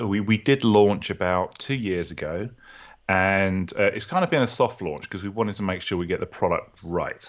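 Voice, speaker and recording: In a British accent, a man speaks at a moderate pace. His pitch is fairly low and varies in an ordinary way. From UK. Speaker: software founder and developer. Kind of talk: interview.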